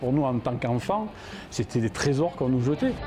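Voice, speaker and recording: A man at a medium pitch. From Provence (Digne-les-Bains). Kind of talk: documentary interview. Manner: hesitant, many fillers.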